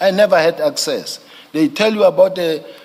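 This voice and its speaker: Noticeable background noise runs behind the recording. A man talks at a very fast pace. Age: 50s. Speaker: witness at an inquiry, police general. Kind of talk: testimony. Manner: halting, repetitive.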